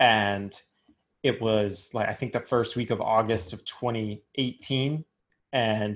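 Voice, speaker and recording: A man with a fairly low pitch and mostly level intonation talks in a normal speaking voice. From US South, Richmond, Virginia. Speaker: sports league executive and lawyer. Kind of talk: interview.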